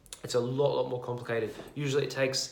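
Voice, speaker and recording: A man with an Australian accent at a medium pitch and a very fast pace, with fairly even intonation, audible room echo and noticeable background noise. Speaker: property investor vlogger. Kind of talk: casual explainer video. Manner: halting, many fillers and restarts.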